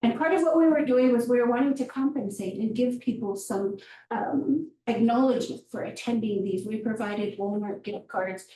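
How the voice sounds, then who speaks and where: A woman speaks at a moderate pace in a dark, mellow tone. Her voice is somewhat breathy, with ordinary pitch variation. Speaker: public health presenter. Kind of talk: presentation.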